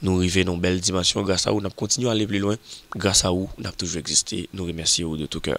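A man's very deep, low pitch at a very fast pace, with fairly even intonation, hardly any pauses, and a dry sound with no echo. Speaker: presenter. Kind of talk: presenter commentary. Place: studio. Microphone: studio mic.

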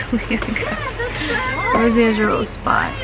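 Clear music fills the background. Over it, a woman talks. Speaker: vlogger. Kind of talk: casual vlog chat. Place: car. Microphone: phone near.

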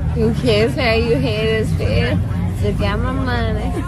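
A woman at a very slow pace, crowd noise behind her, the sound dry with no echo. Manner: drunk, slurred, drowsy speech. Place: beach. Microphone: phone near.

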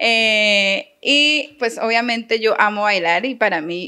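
In a very clean recording with a silent background, a woman's bright, sharp tone sits at a fairly high pitch with ordinary pitch variation. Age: 30s. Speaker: teacher. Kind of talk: interview.

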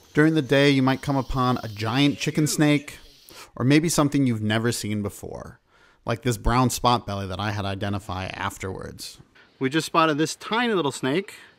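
On a very clean recording with a silent background, a man with a medium pitch sounds enthusiastic and animated, his pitch varying in an ordinary way. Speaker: wildlife video host. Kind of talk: nature documentary narration. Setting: outdoors in the field. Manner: enthusiastic, animated, upbeat; informative, clear, moderately paced.

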